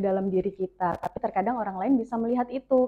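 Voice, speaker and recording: Very fast speech with ordinary pitch variation. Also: woman. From North Kalimantan, Tarakan. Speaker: radio announcer and content creator. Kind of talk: interview podcast.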